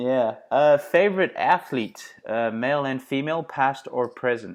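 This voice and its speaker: A man with a South African accent speaks at a fairly slow pace in a fairly high pitch. His pitch varies in an ordinary way, and the background is quiet. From South Africa, Johannesburg. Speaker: podcast host and performance coach. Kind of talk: podcast interview.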